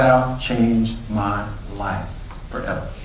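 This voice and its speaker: Over noticeable background noise and an audible room echo, a man talks at a medium pitch. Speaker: network marketing speaker. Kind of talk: motivational sales pitch. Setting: stage with audience.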